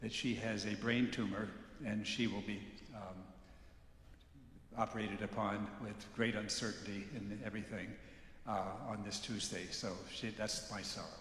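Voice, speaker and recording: Amid audible room echo, a man with a fairly low pitch speaks in a monotone, flat intonation at a moderate pace, with long, frequent pauses. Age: 70s. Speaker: congregation member. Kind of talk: testimony. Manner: halting.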